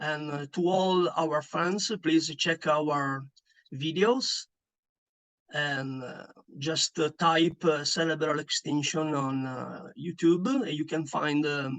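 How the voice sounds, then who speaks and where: Man with an Italian accent at a very slow pace, fairly high pitch and ordinary pitch variation. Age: 40s. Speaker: metal band bassist. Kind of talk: interview. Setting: online call. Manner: halting, many fillers.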